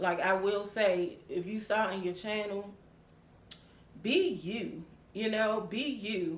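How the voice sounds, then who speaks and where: Audible room echo surrounds this voice. It moves at a very slow pace, with long, frequent pauses. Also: woman, medium pitch for a woman. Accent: DC. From Washington DC. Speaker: YouTuber. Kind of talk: casual chat. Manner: animated.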